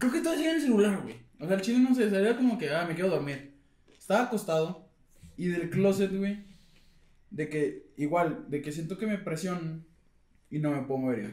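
A man's high-pitched voice in a Mexican accent, fairly quick pace, long, frequent pauses. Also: lively intonation. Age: 20s. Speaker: podcast co-host. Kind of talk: casual chat.

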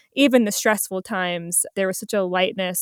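A normal speaking voice from a woman, medium in pitch, at a moderate pace with fairly even intonation, in a dry, close sound with no echo on a very clean recording with a silent background. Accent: American. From New Jersey. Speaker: co-founder of a production company. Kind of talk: interview conversation.

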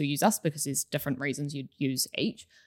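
A woman with a New Zealand accent talks at a fairly quick pace on a very clean recording with a silent background. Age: 20s. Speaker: accounting manager. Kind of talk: casual chat.

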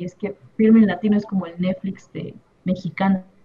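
A woman with a medium pitch and a somewhat breathy voice speaks at a moderate pace with fairly even intonation. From Oaxaca, Mexico. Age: 20s. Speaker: documentary filmmaker. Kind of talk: interview.

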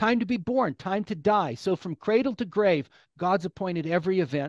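In a West Coast US accent, a man talks at a fairly slow pace with a high pitch and very wide pitch swings. The sound is dry and close with no echo over a quiet background. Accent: General American (West Coast). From California. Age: 50s. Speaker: pastor and author. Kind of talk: interview.

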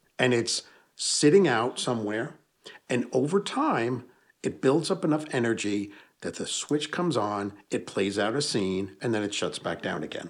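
In a plain, everyday voice with an American accent, the speaker uses lively intonation at a moderate pace, recorded very cleanly against a silent background. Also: man, medium pitch for a man. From US Northeast (Hudson Valley, New York). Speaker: paranormal investigator and author. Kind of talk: casual interview. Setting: in person, home basement.

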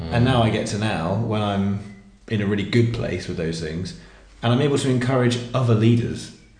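With music in the background and audible room echo, a man talks at a fairly quick pace in a fairly low pitch with ordinary pitch variation. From southern England. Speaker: worship leader. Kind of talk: casual chat.

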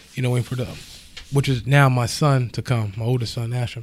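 A somewhat breathy man talks at a medium pitch with monotone, flat intonation. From US Northeast, Levittown area. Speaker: podcast host. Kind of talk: personal storytelling monologue. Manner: casual, many fillers.

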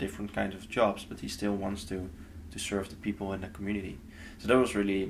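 A man with a Dutch accent talks in a fairly low voice with fairly even intonation. There is audible echo in the room. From Netherlands. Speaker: nonprofit intern. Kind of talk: casual interview. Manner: halting.

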